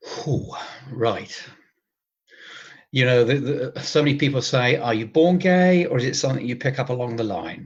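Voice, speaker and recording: A man speaks at a medium pitch with an English accent, sounding somewhat breathy. His speech has long, frequent pauses. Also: ordinary pitch variation, moderate pace. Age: 60s. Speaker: retired cruise ship photographer. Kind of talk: interview.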